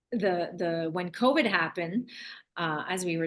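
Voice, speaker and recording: In a French accent, someone talks at a moderate pace with ordinary pitch variation over a quiet background. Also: woman. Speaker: love and relationship coach, author. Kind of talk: podcast interview. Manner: halting, many restarts.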